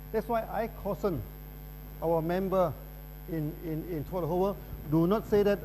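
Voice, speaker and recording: With a dark, mellow tone and a high pitch for a man, he speaks in fairly even intonation, leaving long, frequent pauses amid audible room echo. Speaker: company founder speaking at a business conference. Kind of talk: lecture. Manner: fast; repetitive stammering on words.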